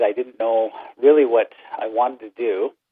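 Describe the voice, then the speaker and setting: Over music in the background, a man of medium pitch speaks with a Canadian accent and fairly even intonation. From Ontario, Canada. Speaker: teacher. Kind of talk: interview.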